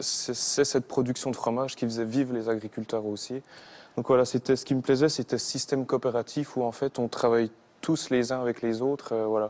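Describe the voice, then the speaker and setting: A man's medium-pitched, monotone voice with flat intonation at a fairly quick pace. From Haut-Doubs, Franche-Comté, eastern France. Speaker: singer, former cheesemaker. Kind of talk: TV talk show interview answer. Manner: hesitant, casual.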